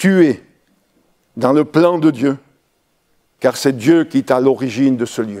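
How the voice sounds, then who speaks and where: A man at a fairly slow pace. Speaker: pastor. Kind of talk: sermon.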